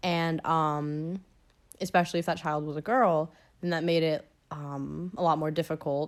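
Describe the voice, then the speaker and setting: Her voice very deep and low, a woman with an American accent speaks at a moderate pace with fairly even intonation. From US South, Georgia. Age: young. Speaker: student podcast host. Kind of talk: personal storytelling podcast. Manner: casual, filler-heavy.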